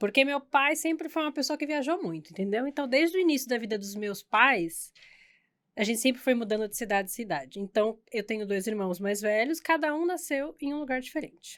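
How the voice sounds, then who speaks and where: Speaking at a fairly quick pace, a woman with a high pitch makes very wide pitch swings on a very clean recording with a silent background. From Brazil, São Paulo and Santos coast. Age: 30s. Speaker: hairdresser. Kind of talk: casual chat. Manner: animated.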